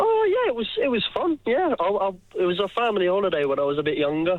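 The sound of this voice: The speech comes at a fast pace. Its pitch swings widely. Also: man, high pitch for a man.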